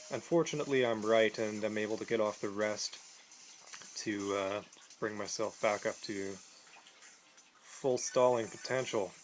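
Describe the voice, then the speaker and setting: Amid noticeable background noise, a man with a fairly low pitch and fairly even intonation speaks at a moderate pace with long, frequent pauses. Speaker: gaming commentator. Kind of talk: video game commentary. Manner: casual.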